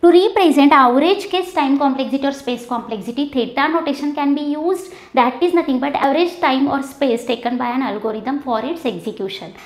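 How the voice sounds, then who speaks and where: With lively intonation and a high pitch, a woman talks at a fairly quick pace. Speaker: teacher. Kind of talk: lecture. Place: classroom. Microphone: lapel.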